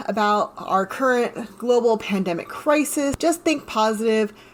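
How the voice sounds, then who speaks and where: The speaker has an American accent and talks at a fairly slow pace. Pitch variation is ordinary, and there is noticeable background noise. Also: woman. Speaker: podcast host. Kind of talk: podcast monologue. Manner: rambling.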